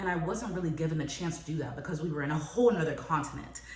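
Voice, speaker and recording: Noticeable background noise and audible room echo accompany a woman whose very deep, low pitch carries fairly even intonation. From moved from Paris, France to US at age five. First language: French. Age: 20s. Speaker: entrepreneur and lifestyle vlogger. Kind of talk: personal vlog monologue. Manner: casual, chatty.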